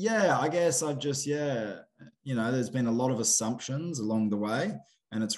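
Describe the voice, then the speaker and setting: A man with an Australian accent talks at a moderate pace, using ordinary pitch variation. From Queensland, Australia (Cloncurry). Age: 30s. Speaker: bronc rider and filmmaker. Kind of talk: casual chat. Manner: animated.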